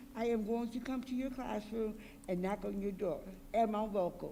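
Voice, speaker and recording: With audible room echo, a woman at fairly high pitch speaks at a moderate pace in fairly even intonation, leaving long, frequent pauses. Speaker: school board trustee. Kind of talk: public meeting remarks. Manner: loud.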